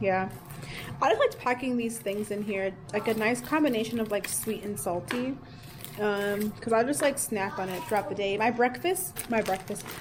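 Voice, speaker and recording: Against noticeable background noise, a woman with a fairly high pitch talks at a moderate pace with lively intonation. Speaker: teacher vlogger. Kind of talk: casual vlog narration.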